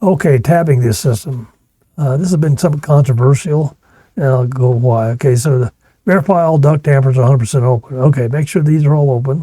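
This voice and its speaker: The speaker has an American accent, a dark, mellow tone that is somewhat breathy, ordinary pitch variation, and a fairly quick pace. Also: man. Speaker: HVAC test and balance instructor. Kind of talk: technical lecture. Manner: fast.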